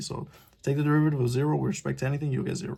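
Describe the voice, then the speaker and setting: Somewhat breathy, the man's voice carries a dark, mellow tone. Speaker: engineering tutor. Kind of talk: tutorial. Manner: fast; casual, hesitant with fillers.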